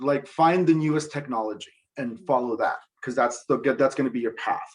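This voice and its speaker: Ordinary pitch variation marks this man's voice. He talks at a fairly quick pace. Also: fairly high pitch for a man. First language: Spanish. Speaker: TV director. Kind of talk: casual interview.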